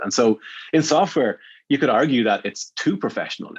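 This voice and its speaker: Against a quiet background, a man with an Irish accent talks very fast at a fairly high pitch. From Ireland. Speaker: agriculture entrepreneur and investor. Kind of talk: podcast interview.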